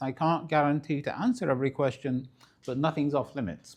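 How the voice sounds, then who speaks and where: A man is the one speaking. His words come out very quickly. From northern England, Manchester. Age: 70s. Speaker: public speaker, retired accountancy partner. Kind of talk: lecture. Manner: conversational, self-correcting.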